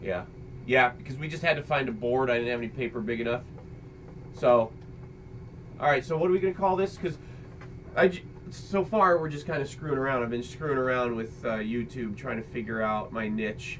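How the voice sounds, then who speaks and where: A man talks at a fairly quick pace and medium pitch with lively intonation, leaving long, frequent pauses. Noticeable background noise runs underneath. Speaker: father and video creator. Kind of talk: casual chat. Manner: loud. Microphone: computer microphone, poor quality.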